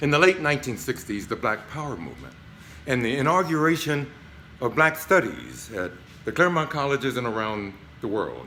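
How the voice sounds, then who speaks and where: At a fairly quick pace, a man with a fairly high pitch has a bright, sharp tone and vocal fry. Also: lively intonation. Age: 70s. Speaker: retired professor. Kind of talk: recorded video message. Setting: tax office.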